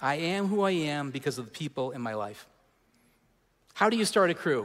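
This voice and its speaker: Fairly quickly and with lively intonation, a man talks in a plain, everyday voice at a fairly high pitch, in a very clean recording with a silent background. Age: 40s. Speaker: pastor. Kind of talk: sermon. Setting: church.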